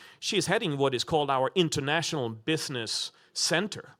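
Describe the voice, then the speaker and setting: With a non-native accent, a man speaks at a fairly high pitch in a bright, sharp tone marked by vocal fry. The recording is very clean with a silent background. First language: not English. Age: 40s. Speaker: business school dean. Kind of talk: panel discussion. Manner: halting, many fillers.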